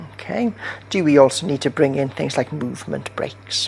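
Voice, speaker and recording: Over noticeable background noise, a man with a British accent talks at a medium pitch. His intonation is lively and his pace moderate. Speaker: university lecturer. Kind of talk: lecture.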